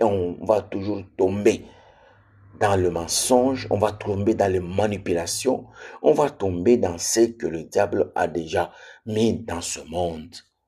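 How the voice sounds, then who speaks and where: Very slow and somewhat breathy, the voice has a dark, mellow tone, ordinary pitch variation and a slight non-native accent, in a very clean recording with a silent background. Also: man. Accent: slightly non-native French. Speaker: preacher. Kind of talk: sermon. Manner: repetitive, emphatic.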